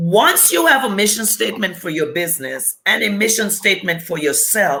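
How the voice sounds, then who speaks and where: With a Caribbean accent, a woman talks at a medium pitch with lively intonation. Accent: Caribbean, noticeable. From US Virgin Islands. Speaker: business coach. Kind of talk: interview. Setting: live video stream.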